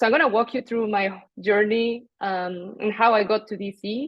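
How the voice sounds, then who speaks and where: The voice carries a Spanish accent. It moves at a moderate pace with fairly even intonation. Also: woman. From Mexico. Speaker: international development professional. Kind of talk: panel discussion.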